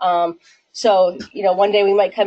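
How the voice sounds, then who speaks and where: A woman is speaking. Her pitch is medium. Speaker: physical therapy presenter. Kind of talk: workplace safety presentation. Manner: fast; filler-heavy.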